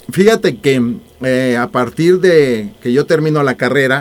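With ordinary pitch variation, the man talks in a plain, everyday voice. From Mexico, Mexico City. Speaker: author. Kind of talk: radio interview.

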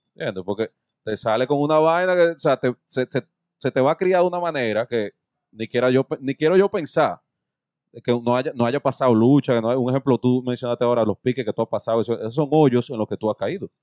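A man with an ordinary speaking voice talks at a medium pitch with ordinary pitch variation, in a dry, close sound with no echo. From Dominican Republic, Santo Domingo. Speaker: podcast host. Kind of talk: casual chat.

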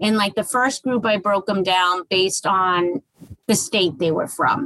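A woman has a plain, everyday voice at a medium pitch with ordinary pitch variation and a moderate pace. The sound is dry and close with no echo. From Massachusetts, Boston area. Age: 40s. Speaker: author and dating coach. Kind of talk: casual interview.

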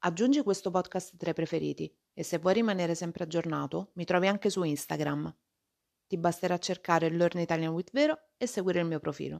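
In an unremarkable speaking voice, a woman talks at a fairly quick pace and fairly low pitch with ordinary pitch variation, on a very clean recording with a silent background and a dry, close sound with no echo. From Rome, Italy. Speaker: Italian language teacher and podcaster. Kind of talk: scripted podcast monologue for language learners. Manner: clear and measured.

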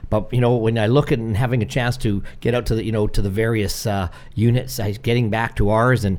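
A man talks at a fairly quick pace with a fairly low pitch, a slightly mellow tone and fairly even intonation.

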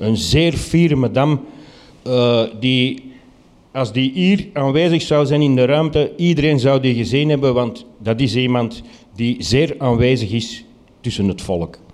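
Speaking at a fairly slow pace, a man keeps a very even loudness with a medium pitch and ordinary pitch variation, with audible room echo. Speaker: storyteller. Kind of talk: live storytelling. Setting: stage with audience.

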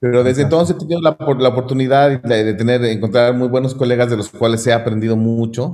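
A man with a Mexican accent speaks at a medium pitch in a dark, mellow tone. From Mexico. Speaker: classical guitarist. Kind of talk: casual interview. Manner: hesitant, many fillers and repetitions.

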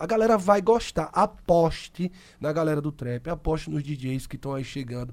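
At a moderate pace, a man talks with a fairly high pitch and ordinary pitch variation. His is an unremarkable speaking voice. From Sergipe, Brazil. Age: 30s. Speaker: podcast host. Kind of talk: casual chat.

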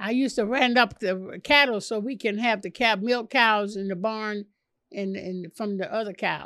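In a very clean recording with a silent background, a woman speaks with a bright, sharp tone and ordinary pitch variation. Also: moderate pace. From Chicago. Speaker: author and former wife of a boxing champion. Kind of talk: interview.

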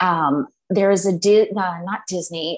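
A woman with an American accent speaks in an ordinary speaking voice, with a medium pitch and ordinary pitch variation. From central Massachusetts. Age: 40s. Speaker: psychic and energy healer. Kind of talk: interview.

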